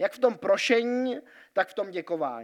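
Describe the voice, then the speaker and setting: Recorded very cleanly against a silent background, a man speaks at a moderate pace in an extremely high voice. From Switzerland (Grindelwald). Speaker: pastor. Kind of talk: sermon. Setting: church.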